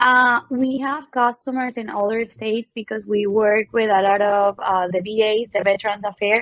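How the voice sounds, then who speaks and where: A woman in a Venezuelan accent, fairly high-pitched with fairly even intonation. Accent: Venezuelan Spanish accent, noticeable. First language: Spanish. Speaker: medical equipment business co-owner, sales. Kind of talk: casual chat.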